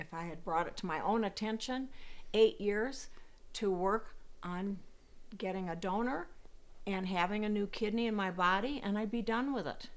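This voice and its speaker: With ordinary pitch variation and a moderate pace, a woman speaks with long, frequent pauses, and audible room echo surrounds her. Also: medium pitch for a woman. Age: 70s. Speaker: kidney patient. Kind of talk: testimony. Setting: at home.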